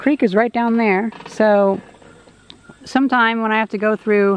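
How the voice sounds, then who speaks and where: A woman at a moderate pace, dry sound with no echo. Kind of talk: casual vlog chat. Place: open country. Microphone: phone near.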